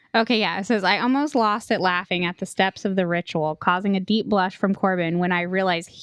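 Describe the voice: A person reads aloud in a plain manner.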